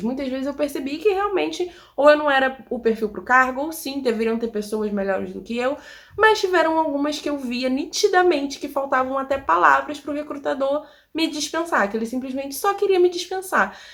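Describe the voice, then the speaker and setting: Lively in intonation, a woman with a high pitch talks at a fairly quick pace. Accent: Rio de Janeiro. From Rio de Janeiro, Brazil. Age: 20s. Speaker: immigrant vlogger. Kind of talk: casual talk to camera.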